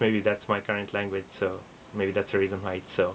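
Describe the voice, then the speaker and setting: A man talking at a very fast pace. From India (Assam, schooled in Bengal). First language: Assamese. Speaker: vlogger. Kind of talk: casual talk to camera. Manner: halting, with fillers.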